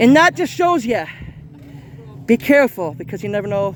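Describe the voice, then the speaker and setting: An animated man with a high pitch swings very widely in pitch over noticeable background noise. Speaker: vlogger. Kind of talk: walkthrough vlog commentary. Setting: outdoors and inside haunted attraction.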